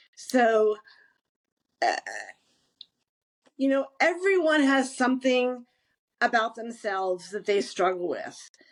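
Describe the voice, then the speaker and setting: A woman's high voice with very wide pitch swings, a very slow pace and long, frequent pauses. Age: 60s. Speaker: graphic novel creator, former public relations professional. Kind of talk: interview. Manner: halting.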